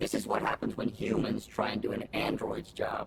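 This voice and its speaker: A man puts on a raspy character voice at a moderate pace, with clear background noise behind him. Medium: video game. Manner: dry, sarcastic.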